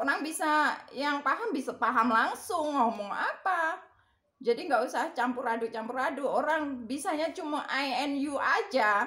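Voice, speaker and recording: A woman's raised, projected voice, high in pitch, with lively intonation at a moderate pace. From Indonesia, Java. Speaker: vlogger. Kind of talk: casual chat. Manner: rambling with fillers.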